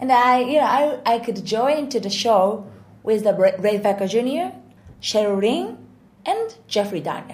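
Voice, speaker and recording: The speaker has a Japanese accent and talks at a fairly slow pace. The pitch swings very widely. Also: woman. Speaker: singer and vocal coach. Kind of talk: casual interview in English. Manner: halting, many fillers.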